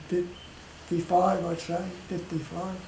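Light background noise and audible room echo surround a man talking in an Australian accent. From Australia, Cairns, Queensland. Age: 80s+. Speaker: retired rugby league player and referee. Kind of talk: interview answer, reminiscing. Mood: warm, amused reminiscing.

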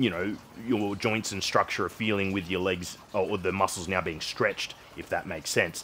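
With light background noise, a man talks at a moderate pace in a fairly low voice. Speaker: fitness vlogger. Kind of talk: casual vlog chat. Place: home room.

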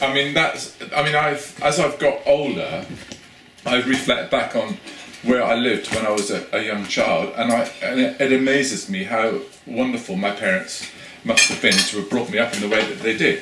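Audible room echo and light background noise surround a man's voice. He speaks at a moderate pace with lively intonation. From Cornwall, England. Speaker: academic researcher. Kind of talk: interview conversation. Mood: reflective, warm. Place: home room. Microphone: camera far.

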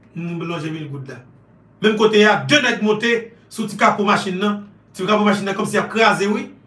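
This man's voice is high-pitched, with ordinary pitch variation and a fairly quick pace. His loudness swings widely, and the room echo is audible. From Haiti. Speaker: online news commentator. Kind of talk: political commentary monologue. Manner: animated. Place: home room. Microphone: phone near.

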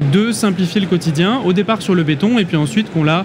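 Noticeable background noise accompanies a man speaking at a fairly quick pace. His pitch variation is ordinary. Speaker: guest. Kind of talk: interview answer. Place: hall. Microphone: studio mic.

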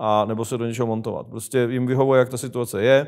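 Talking at a very fast pace, a man with a medium-pitched voice keeps a flat, monotone delivery against a quiet background. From Czech Republic. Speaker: show host asking questions. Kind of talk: casual political interview. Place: studio.

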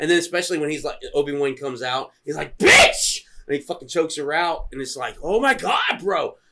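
Loud background noise accompanies a man talking at a fairly quick pace. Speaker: podcast co-host. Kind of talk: casual drinking banter. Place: garden. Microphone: camera far.

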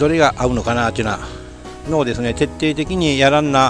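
A man's voice with a dry, echo-free sound and faint background music. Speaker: farmer reviewing tools. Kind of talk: casual vlog chat.

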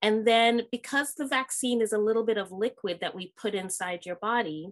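A woman's voice with ordinary pitch variation, a moderate pace and a quiet background. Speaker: guest. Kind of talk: explaining answers to children. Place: home room. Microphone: webcam.

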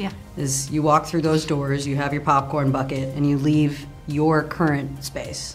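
Faint music plays in the background as a woman with a very deep, low pitch talks at a moderate pace in monotone, flat intonation. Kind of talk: interview answer. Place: hall.

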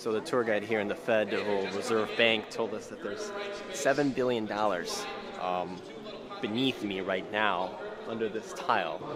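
The speaker talks at a moderate pace with ordinary pitch variation. The sound is dry with no echo, under loud background noise. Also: man. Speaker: vlogger. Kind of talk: casual vlog chat. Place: hall. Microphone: phone near.

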